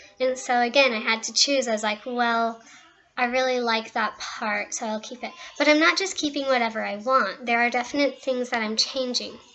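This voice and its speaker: Noticeable background noise sits behind a woman's high-pitched voice. She keeps a moderate pace and fairly even intonation. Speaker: author. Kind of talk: casual talk to camera.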